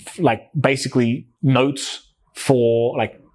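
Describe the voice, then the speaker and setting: A man with an Australian accent speaks at a very slow pace. His pitch is medium. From Australia, New South Wales, Greek parents. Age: 20s. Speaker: entrepreneur. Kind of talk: interview conversation. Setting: in-person podcast recording. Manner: casual, animated.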